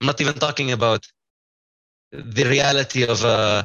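Here a man talks in an Arabic accent. His intonation stays fairly even. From Kfar Qasem, Israel. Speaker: psychology student. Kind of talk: group discussion. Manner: repeats words.

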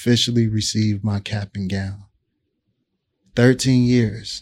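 A man at a fairly slow pace, fairly low in pitch. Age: 30s. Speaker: podcast co-host and hip-hop artist. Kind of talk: casual chat.

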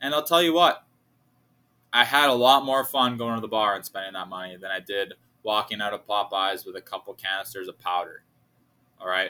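Fairly quick yet broken by long, frequent pauses, a man's fairly low voice has a bright, sharp tone, lively intonation and big swings in loudness. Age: 20s. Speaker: podcast host and bartender. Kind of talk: casual solo monologue. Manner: animated.

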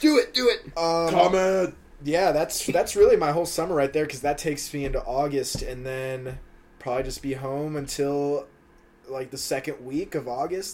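A man with an American accent speaks in a normal speaking voice at a moderate pace. His pitch is fairly high with ordinary variation, and his loudness swings widely. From Maryland, US. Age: 20s. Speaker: podcast co-host, college student. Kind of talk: casual chat.

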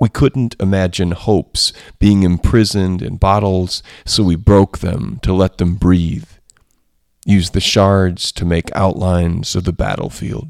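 On a very clean recording with a silent background and a dry, close sound with no echo, a man with a very deep, low pitch talks at a fairly slow pace with ordinary pitch variation. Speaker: poetry podcast host. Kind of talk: poetry reading. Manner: measured, unhurried, reflective; informal, hesitant with fillers when discussing craft.

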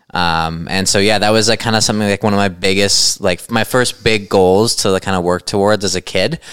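A man with a western Canadian accent, fairly low in pitch and fairly quick, with fairly even intonation and very even loudness. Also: hardly any pauses. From western Canada. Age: 20s. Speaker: ultra runner and cancer survivor. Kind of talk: casual chat. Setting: at his home.

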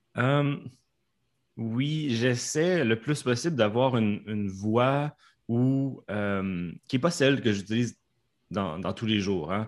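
In a Canadian French accent, a man speaks at a medium pitch with lively intonation. His very slow pace includes long, frequent pauses, on a very clean recording with a silent background. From Canada. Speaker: professional interpreter. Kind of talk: casual interview. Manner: clear, careful articulation.

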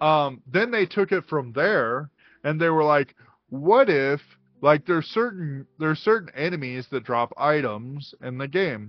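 A man's plain, everyday voice, fairly high pitched, with lively intonation at a fairly slow pace. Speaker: podcast co-host. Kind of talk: casual chat.

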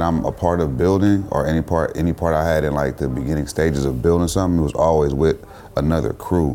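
Over noticeable background noise, a man with a very deep, low pitch talks at a fairly quick pace with fairly even intonation. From US West Coast, Richmond, California (Bay Area). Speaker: rapper and photographer. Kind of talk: casual chat.

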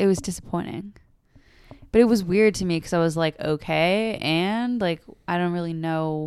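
In a plain, everyday voice, a woman speaks at a moderate pace with a fairly low pitch and ordinary pitch variation. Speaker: podcast host, therapy-related. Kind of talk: casual chat.

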